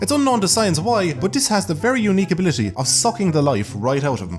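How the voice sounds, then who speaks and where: With an Irish accent and a fairly high pitch, a man talks at a very fast pace in very wide pitch swings while music plays in the background. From Ireland. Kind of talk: comedic narration.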